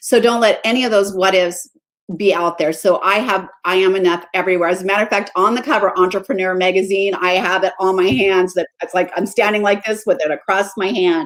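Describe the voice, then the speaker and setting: At a fairly quick pace, a woman speaks in a plain, everyday voice. Her pitch is medium, with ordinary pitch variation. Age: 60s. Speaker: mindset coach. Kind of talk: interview. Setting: live stream.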